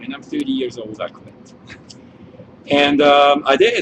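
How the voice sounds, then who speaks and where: With a Swiss accent, a man talks at a moderate pace over noticeable background noise. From Switzerland. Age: 40s. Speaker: winemaker. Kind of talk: wine tasting chat.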